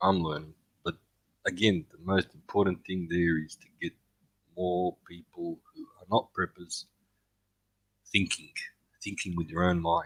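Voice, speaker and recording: In an Australian accent, a man with a very deep, low voice speaks at a fairly slow pace in a monotone, flat intonation with long, frequent pauses, the sound dry and close with no echo. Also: big swings in loudness. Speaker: fellow prepping youtuber. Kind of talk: casual chat.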